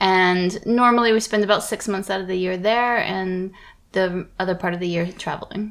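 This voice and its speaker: In a plain, everyday voice, a woman with an American accent talks at a moderate pace with medium pitch and fairly even intonation, in a very clean recording with a silent background. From United States. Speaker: podcast co-host. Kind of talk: casual chat.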